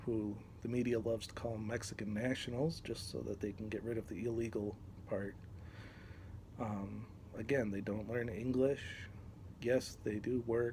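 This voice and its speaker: A man talks at a fairly slow pace in a fairly low pitch, with fairly even intonation. His tone is dark and mellow and somewhat breathy. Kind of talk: unscripted talk to camera. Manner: hesitant, many fillers.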